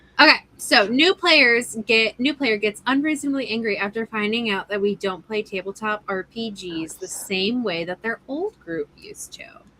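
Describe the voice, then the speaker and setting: A woman with a fairly high voice and lively intonation talks at a moderate pace with hardly any pauses and big swings in loudness, recorded dry and close with no echo over noticeable background noise. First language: Italian (early childhood, since lost). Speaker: podcast host reading tabletop stories. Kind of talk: reading aloud.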